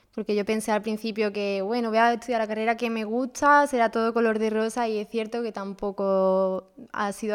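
On a very clean recording with a silent background, a woman with a normal speaking voice talks at a fairly high pitch with fairly even intonation. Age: 20s. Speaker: veterinary student. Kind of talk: casual interview.

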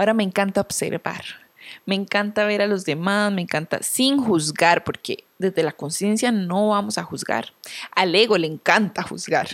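A woman with a plain, everyday voice speaks at a moderate pace and medium pitch, with ordinary pitch variation. The recording is very clean, with a silent background. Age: 30s. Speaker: podcast host. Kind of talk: solo reflective monologue.

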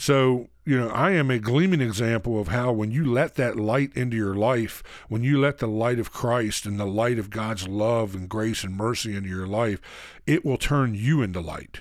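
An unremarkable speaking voice with ordinary pitch variation moves at a moderate pace. The recording is very clean, with a silent background. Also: man, medium pitch for a man. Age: 40s. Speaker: minister and recovery counselor. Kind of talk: recovery teaching talk. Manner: casual, filler-heavy delivery.

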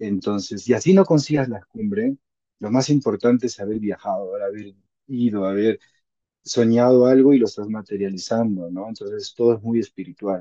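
A man with a medium pitch and a dark, mellow tone talks at a moderate pace with ordinary pitch variation, the sound dry and close with no echo. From Peru, Huaraz (Andes). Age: 30s. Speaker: mountaineer and mountain guide. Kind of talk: interview testimony.

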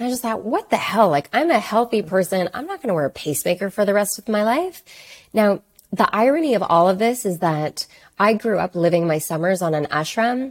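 Her pitch medium and her intonation lively, a woman with a normal speaking voice and a Canadian accent talks at a fairly quick pace. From Canada, Toronto. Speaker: wellness entrepreneur, holistic nutritionist. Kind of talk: interview conversation. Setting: remote call.

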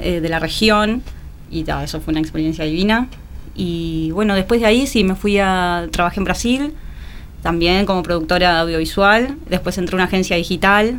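A woman speaks at a fairly low pitch. There is noticeable noise in the background. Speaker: executive producer. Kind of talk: casual interview.

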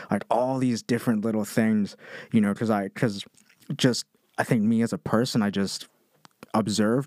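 Recorded very cleanly against a silent background, with a dry, close sound and no echo, a man with an American accent speaks in an unremarkable speaking voice at a moderate pace, his fairly low pitch showing ordinary variation. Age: 20s. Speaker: podcast guest. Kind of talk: casual chat.

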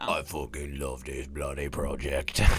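Over loud background noise, a man uses a gruff, put-on character voice at a moderate pace. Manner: exaggerated, rough.

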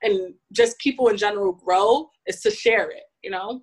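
A woman speaks in an American accent at a moderate pace, with a plain, everyday voice. Her pitch is fairly high and her intonation fairly even. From US, New York City (Bronx). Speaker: fashion technology professional. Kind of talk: interview. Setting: podcast.

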